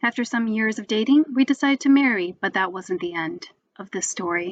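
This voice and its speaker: The sound is dry and close with no echo as a woman speaks in an American accent. Her pitch is fairly high, with ordinary variation. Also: quiet background. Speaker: spoken word poet. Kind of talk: spoken word poetry performance.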